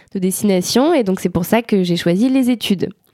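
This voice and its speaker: A woman's medium-pitched voice, dark and mellow in tone, at a fairly slow pace with ordinary pitch variation, in a very clean recording with a silent background. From France, Savoie. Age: 20s. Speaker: climate activist. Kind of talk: interview. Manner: animated.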